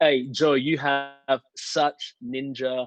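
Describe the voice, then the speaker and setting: This man speaks with an Australian accent at a medium pitch. His intonation is monotone and flat. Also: dry, close sound with no echo. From Australia, Melbourne. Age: 40s. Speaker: preacher. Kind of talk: casual chat.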